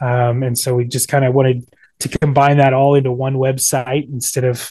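A man with a dark, mellow, somewhat breathy tone speaks fairly quickly at medium pitch, his intonation flat and monotone. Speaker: country musician, band frontman. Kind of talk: casual interview chat.

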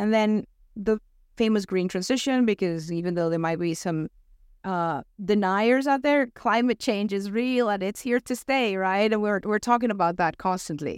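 In a very clean recording with a silent background and a dry, close sound with no echo, a woman with an American accent speaks at a moderate pace and a medium pitch with ordinary pitch variation. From Venezuela. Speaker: talent acquisition director. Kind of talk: podcast interview.

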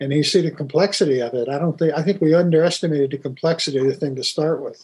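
A man's fairly high-pitched voice with an American accent, a dark, mellow tone, fairly even intonation and a fairly quick pace. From US mill mining area. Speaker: podcast host and business consultant. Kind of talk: interview.

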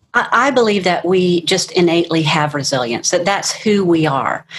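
Against noticeable background noise, a woman with a fairly low pitch speaks at a moderate pace with lively intonation. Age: 60s. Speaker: life coach. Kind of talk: interview.

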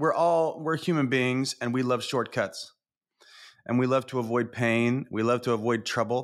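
In a very clean recording with a silent background, a man with a plain, everyday voice speaks at a moderate pace and medium pitch. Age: 40s. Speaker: executive coach. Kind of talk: casual chat.

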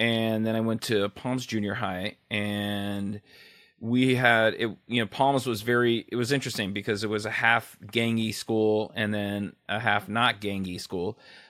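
A man speaks with a Californian accent at a fairly low pitch. His intonation stays monotone and flat. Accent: Californian American. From Los Angeles (West LA). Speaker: radio DJ. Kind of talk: casual interview chat.

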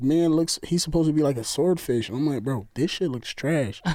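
Heard on a very clean recording with a silent background, a man with a New York accent speaks in a dark, mellow tone with ordinary pitch variation. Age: 30s. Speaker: co-worker of host. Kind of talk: casual chat.

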